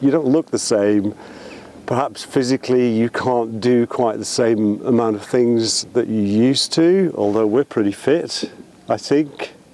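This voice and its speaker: At a fairly slow pace and with ordinary pitch variation, the voice comes through noticeable background noise. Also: man, medium pitch for a man. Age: 60s. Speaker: vlogger. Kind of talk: casual chat. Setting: outdoors at the beach. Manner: hesitant, filler-heavy.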